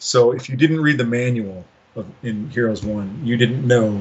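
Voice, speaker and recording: A man with an American accent speaks at a medium pitch, somewhat breathy, with lively intonation. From US, Los Angeles. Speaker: game designer. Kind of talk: interview. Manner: casual.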